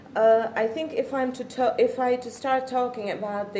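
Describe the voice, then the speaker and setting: A woman speaks with a dark, mellow tone and ordinary pitch variation. Audible echo fills the room. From Czech Republic. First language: Czech. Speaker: parent. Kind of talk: talk to an audience. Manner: halting.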